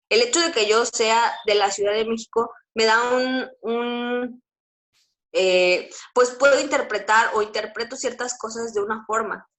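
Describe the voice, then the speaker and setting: A woman speaks with a slight Mexico City accent at a fairly high pitch. Her intonation stays fairly even. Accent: slight Mexico City (chilango). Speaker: teacher. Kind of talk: lecture. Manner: hesitant, many fillers.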